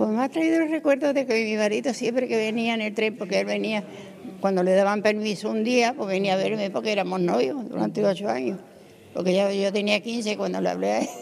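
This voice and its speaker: A woman's lively intonation at a fairly quick pace, with noticeable background noise. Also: medium pitch for a woman. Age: 80s+. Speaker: elderly local resident. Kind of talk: street interview. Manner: halting.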